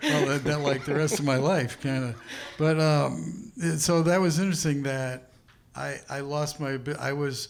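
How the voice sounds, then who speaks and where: With clearly audible noise behind him, a man with a somewhat high voice talks at an average speed, his pitch moving in a normal way. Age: 70s. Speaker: musician. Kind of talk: panel discussion.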